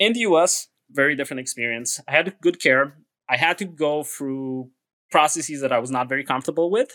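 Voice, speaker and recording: This man speaks with a Romanian accent at a fairly quick pace, his fairly high voice bright and sharp in tone, with ordinary pitch variation and a dry, close sound with no echo. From Romania (Transylvania). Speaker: podcast guest. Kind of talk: interview.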